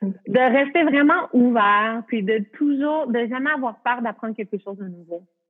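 A high-pitched woman speaks at a fairly slow pace with ordinary pitch variation. Her loudness swings a great deal. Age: 30s. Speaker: yoga teacher. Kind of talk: casual interview.

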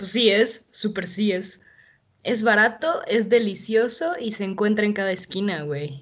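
A woman speaks at a fairly slow pace in a medium pitch, with lively intonation. She has a plain, everyday voice. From Mexico City. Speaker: podcast host. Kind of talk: casual chat.

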